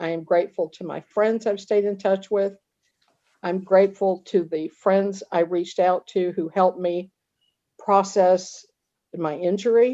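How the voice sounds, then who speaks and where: A woman with a medium pitch and a dark, mellow tone talks at a fairly slow pace with fairly even intonation. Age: 70s. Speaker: support group member. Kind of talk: casual chat. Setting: video call.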